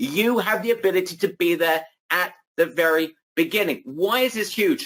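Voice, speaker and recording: Music plays in the background. A man speaks at a high pitch. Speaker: online marketing webinar host. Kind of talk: sales pitch. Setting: live webinar. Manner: animated.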